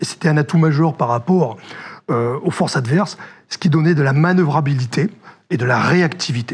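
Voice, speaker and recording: Noticeable background noise sits behind a man with a fairly high pitch and ordinary pitch variation. He talks at a moderate pace with long, frequent pauses. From northern France. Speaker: former army officer, security director. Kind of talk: interview. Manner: hesitant, many fillers.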